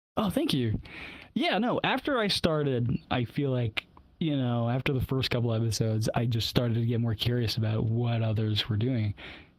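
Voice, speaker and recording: A man with an ordinary speaking voice talks at a moderate pace and medium pitch, showing ordinary pitch variation and very even loudness. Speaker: podcaster. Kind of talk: casual chat.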